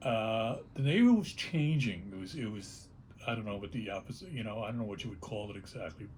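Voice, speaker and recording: A man with an American accent talks at a very fast pace with lively intonation. His voice is somewhat breathy, and there is audible room echo. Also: medium pitch for a man. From New York City, the Bronx. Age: 70s. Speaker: punk rock singer. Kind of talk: oral history interview. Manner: halting, repeats words.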